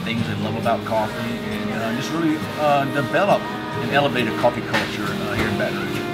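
A man talks at a moderate pace while loud music plays in the background. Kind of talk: interview answer. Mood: enthusiastic, earnest. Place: cafe.

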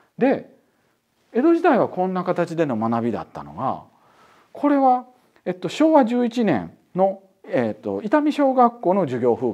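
Against a quiet background, the voice moves through very wide pitch swings. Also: man. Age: 40s. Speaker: professor. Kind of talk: lecture. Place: studio. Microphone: lapel.

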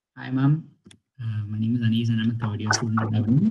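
His voice sits at a medium pitch and carries some breathiness. It belongs to a man. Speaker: architecture student. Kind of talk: audience question. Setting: video call.

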